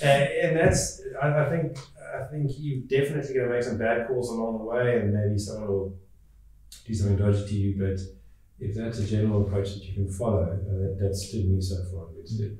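Strong room echo around a man's fairly low, slightly mellow voice, fairly quick in pace with fairly even intonation

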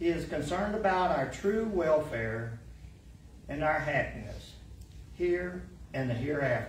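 A man's fairly slow speech amid audible room echo and light background noise. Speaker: church lay reader. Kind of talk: devotional reading. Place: church. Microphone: podium.

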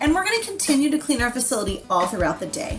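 Clear music plays in the background. Over it, a woman speaks at a fairly quick pace. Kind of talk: promotional announcement. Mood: upbeat, reassuring. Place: office. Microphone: webcam.

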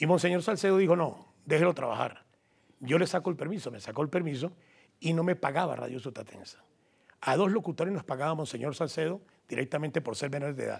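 This man's voice sits fairly high, with ordinary pitch variation. He speaks at a very fast pace. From Colombia, Huila (Garzón); Huila, Colombia. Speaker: journalist and sports commentator. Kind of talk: interview. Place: studio. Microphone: lapel.

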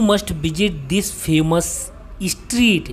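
With music in the background, a woman speaks at a very slow pace using lively intonation. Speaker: travel vlogger. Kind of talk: casual vlog commentary. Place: street. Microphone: phone near.

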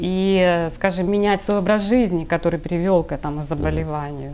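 A woman talks fairly slowly, and her pitch moves in an ordinary way. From Ukraine, Kryvyi Rih; Ukraine. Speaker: healer; interview guest. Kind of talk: TV interview. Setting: studio. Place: studio. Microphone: lapel.

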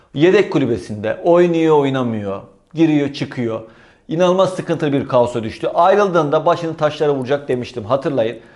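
Fairly quick delivery with lively intonation against a quiet background. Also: man, fairly high pitch for a man. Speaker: football YouTuber, fan commentator. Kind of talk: solo football commentary vlog. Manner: fast when excited.

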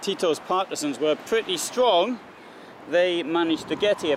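Noticeable background noise surrounds a man speaking at a moderate pace with lively intonation. The sound is dry, with no echo. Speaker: history travel narrator. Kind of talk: commentary. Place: street. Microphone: camera far.

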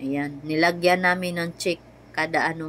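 A woman with a very deep, low pitch speaks at a moderate pace in a monotone, flat way. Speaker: family vlogger. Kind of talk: casual vlog narration. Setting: shopping mall. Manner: chatty, laughing.

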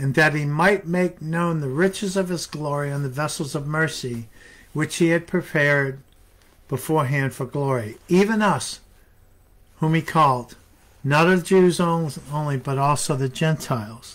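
The man's pitch is fairly high. He talks at a fairly slow pace. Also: ordinary pitch variation, fairly bright tone.

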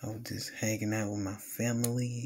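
The speaker has a Southern US accent. Light background noise is audible. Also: man. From US South, Alabama. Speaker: gaming YouTuber. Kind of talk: casual vlog talk to camera. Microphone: phone near.

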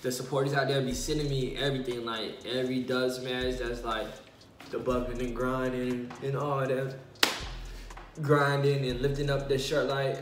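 Monotone, flat intonation against noticeable background noise. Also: man, moderate pace. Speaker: vlogger. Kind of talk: casual vlog chat, mukbang. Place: home room. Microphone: phone near.

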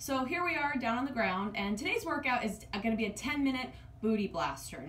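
The speech runs at a fairly quick pace, with audible room echo and light background noise. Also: woman. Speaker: fitness coach. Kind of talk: workout tutorial. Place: home room. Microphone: camera far.

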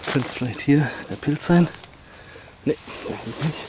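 A man speaks at a moderate pace with fairly even intonation. The sound is dry with no echo, with noticeable background noise behind it. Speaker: geocacher vlogger. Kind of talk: casual vlog chat. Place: open country. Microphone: phone near.

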